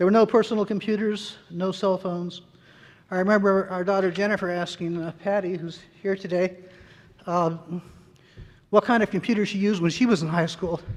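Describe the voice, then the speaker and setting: Speaking with an American accent, a man uses a high pitch. His intonation is monotone and flat, with long, frequent pauses. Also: fairly quick pace. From Maryland, US. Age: 70s. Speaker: surgeon. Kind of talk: award acceptance speech. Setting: stage with audience. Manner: formal.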